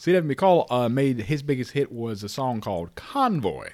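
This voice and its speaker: At a moderate pace, a man talks with an American accent and lively intonation. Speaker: podcast host. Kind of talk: casual banter podcast.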